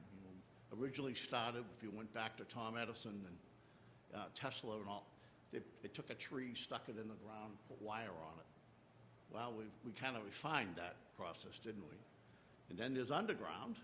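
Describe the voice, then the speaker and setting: A man with a bright, sharp tone speaks at a moderate pace and medium pitch, with ordinary pitch variation and audible room echo. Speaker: utility industry panelist. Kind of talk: conference panel presentation. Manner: halting, many fillers and repeats.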